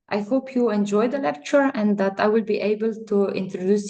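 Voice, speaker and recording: This woman has a dark, mellow tone and speaks with a non-native accent. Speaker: chemical engineer. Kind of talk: lecture. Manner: halting.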